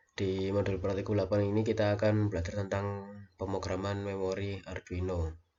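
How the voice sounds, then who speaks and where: A man's monotone, flat delivery at a fairly quick pace, hardly any pauses, with audible room echo. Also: fairly low pitch for a man. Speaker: university lecturer / lab instructor. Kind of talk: recorded lecture tutorial. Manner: hesitant, many fillers.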